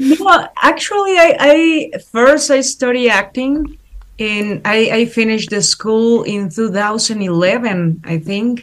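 A woman speaks at a very slow pace in a Spanish accent, her fairly high pitch swinging very widely. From Mexico. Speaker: actress. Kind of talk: interview. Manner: halting.

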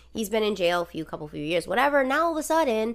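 Over a silent background in a very clean recording, a woman speaks in an animated tone with very wide pitch swings. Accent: Rhode Island. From Rhode Island. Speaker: podcast host. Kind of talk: casual chat, true crime storytelling. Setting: living room recording, at home. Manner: animated, jokey, profane.

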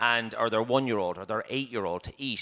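A man with a Dublin accent, medium pitch and a bright, sharp tone, talking at a very fast pace. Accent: Dublin Irish. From Dublin, Ireland. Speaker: chef and cookbook writer. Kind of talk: panel talk. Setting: stage with audience. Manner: halting.

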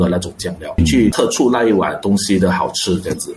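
A man talks at a fairly quick pace with very wide pitch swings over noticeable background noise. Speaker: restaurant chain co-founder and executive director. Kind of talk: radio interview.

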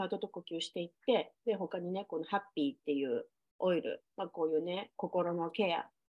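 With an unremarkable speaking voice, a woman of fairly low pitch speaks at a moderate pace and varies her pitch in an ordinary way. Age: 40s. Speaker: podcast host. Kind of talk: casual chat.

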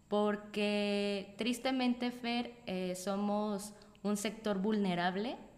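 Very slow speech over noticeable background noise. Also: woman, medium pitch for a woman. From Mexico, Morelia. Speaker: solo traveler. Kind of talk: casual interview. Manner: animated.

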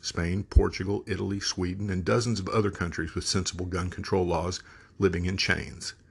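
A quiet background and a moderate pace. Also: man. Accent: American. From Texas. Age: 50s. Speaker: podcast host. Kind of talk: monologue commentary.

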